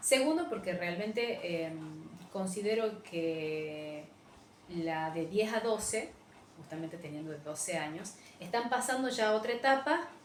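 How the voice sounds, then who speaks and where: A woman talks at a fairly slow pace with lively intonation. Noticeable background noise and audible room echo fill the recording. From Argentina, Frías, Santiago del Estero. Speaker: English teacher. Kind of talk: recorded teaching demo / lecture. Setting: virtual class recording without students. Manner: animated, fairly loud, high-energy; hesitant with many fillers (eh, em).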